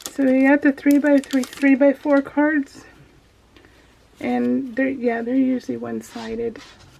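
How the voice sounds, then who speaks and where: Over noticeable background noise, a woman with a high pitch speaks at a fairly slow pace in monotone, flat intonation. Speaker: craft video creator. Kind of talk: unboxing video. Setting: home office. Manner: halting.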